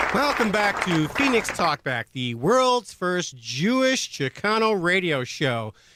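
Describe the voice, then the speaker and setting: Against crowd noise in the background, a man with a high pitch talks at a very slow pace with hardly any pauses and very wide pitch swings. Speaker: radio show host. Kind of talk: radio talk show hosting. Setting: radio studio.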